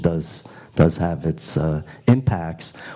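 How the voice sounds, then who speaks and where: In a New York accent, a man speaks very slowly with a dark, mellow tone and ordinary pitch variation. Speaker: Q&A moderator. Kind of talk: panel Q&A answer. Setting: retreat hall with audience. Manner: halting.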